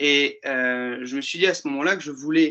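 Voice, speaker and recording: A man talks at a moderate pace. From Paris, France. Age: 20s. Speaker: show author and producer. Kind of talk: webinar presentation. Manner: halting, many filler hesitations.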